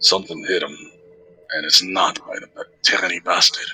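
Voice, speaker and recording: A man's put-on character voice at a moderate pace, with faint music in the background. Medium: actual play. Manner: blunt, halting.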